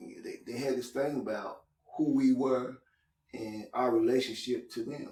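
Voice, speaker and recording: At a fairly slow pace, a man says his piece. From Louisville, Kentucky (US South). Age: 60s. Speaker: community organizer. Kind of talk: casual chat. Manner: halting.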